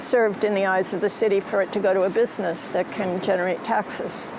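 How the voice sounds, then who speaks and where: Against noticeable background noise, a woman at a medium pitch speaks at a very fast pace. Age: 70s. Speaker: artist. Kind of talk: interview.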